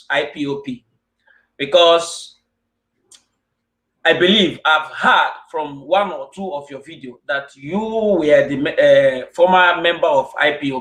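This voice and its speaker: A man with a Nigerian accent speaks slowly-ish at a high pitch, with ordinary pitch variation and big swings in loudness. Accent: Nigerian Igbo English. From Nigeria, Igbo land. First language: Igbo. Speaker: online show host. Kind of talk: interview.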